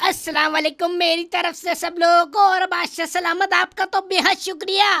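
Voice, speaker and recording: This cartoonish character voice sits at an extremely high pitch. Its intonation stays monotone and flat. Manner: courteous, sweet-talking.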